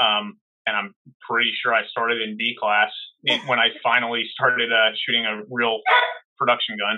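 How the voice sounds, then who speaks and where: A man with an American accent speaks at a moderate pace in a medium-pitched voice. His intonation stays flat and monotone, broken by long, frequent pauses. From US Northeast, New Jersey. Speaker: holster maker and competitive shooter. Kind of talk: casual interview.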